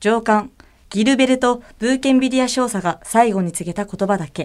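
Over a very clean recording with a silent background, a woman speaks in a normal speaking voice at a fairly high pitch, a moderate pace and with ordinary pitch variation. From Tokyo, Japan. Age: 20s. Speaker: idol singer. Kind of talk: reading aloud.

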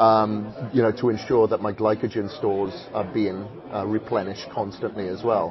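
Noticeable background noise sits behind a man with a fairly low pitch who speaks at a moderate pace with fairly even intonation. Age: 40s. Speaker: fitness and transformation coach. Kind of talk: casual chat. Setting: live event with audience.

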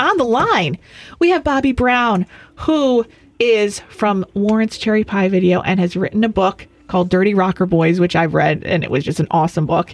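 Her normal speaking voice at a medium pitch, a woman talks at a moderate pace with lively intonation and very even loudness, in a dry, close sound with no echo. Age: 30s. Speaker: radio host and dating expert. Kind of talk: casual chat. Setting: studio.

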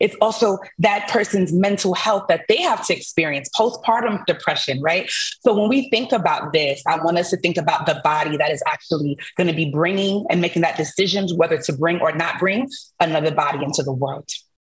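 Over noticeable background noise, a woman with an American accent talks at a fairly quick pace, her fairly low pitch carried by lively intonation. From US Northeast, Brooklyn. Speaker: musician. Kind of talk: panel debate.

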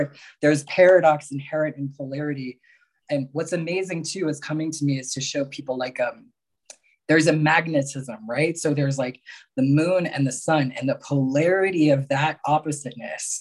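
A plain, everyday voice. It moves at a moderate pace with fairly even intonation. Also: man, fairly high pitch for a man. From Mexico and New York area. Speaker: spiritual healer and coach. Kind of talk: casual chat.

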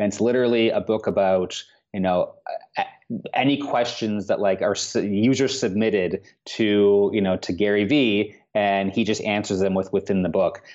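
A man with a Canadian accent speaks at a fairly low pitch and a moderate pace. His intonation is fairly even and his loudness very even. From Canada, Toronto. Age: 30s. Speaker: tech startup co-founder. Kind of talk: interview. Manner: hesitant, many fillers.

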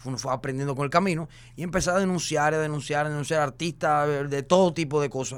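Animated tone at a very fast pace on a very clean recording with a silent background. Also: man, fairly high pitch for a man. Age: 30s. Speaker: social media personality. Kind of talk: casual chat.

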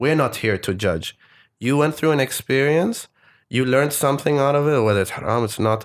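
A man with an Arabic accent speaks with ordinary pitch variation on a very clean recording with a silent background. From Oman. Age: 20s. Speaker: storyteller and TV producer. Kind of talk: casual interview chat. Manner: halting, many fillers.

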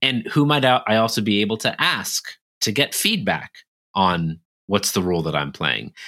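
This man speaks at a fairly low pitch with very wide pitch swings, vocal fry, and a bright, sharp tone. His loudness stays very even at a moderate pace in a very clean recording with a silent background. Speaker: leadership consultant and author. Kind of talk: podcast interview.

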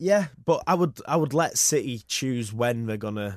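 Against a quiet background, a man with a Yorkshire accent speaks with lively intonation. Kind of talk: casual sports chat. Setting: studio.

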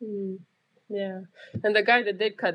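The speaker talks at a moderate pace with a Romanian accent. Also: woman. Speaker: nurse and army reserve combat medic. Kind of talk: casual chat. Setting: remote call, separate locations.

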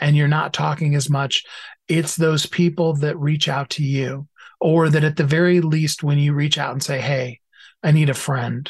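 A somewhat breathy man's voice, fairly high in pitch, with monotone, flat intonation. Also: moderate pace. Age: 50s. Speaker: author and minister. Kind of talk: interview.

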